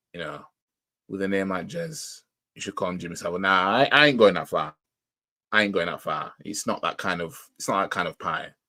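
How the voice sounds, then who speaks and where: With a Yorkshire accent, a man with a fairly low voice and lively intonation speaks at a fairly quick pace with long, frequent pauses, on a very clean recording with a silent background. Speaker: football fan YouTuber, live reaction streamer. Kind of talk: casual live stream chat. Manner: halting, many fillers.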